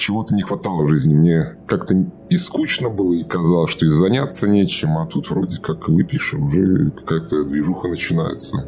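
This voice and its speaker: Over noticeable background noise, a man with a very deep, low pitch speaks at a moderate pace with lively intonation. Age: 30s. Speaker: recovering alcoholic sharing his story. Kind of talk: personal testimony interview. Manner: halting, full of fillers.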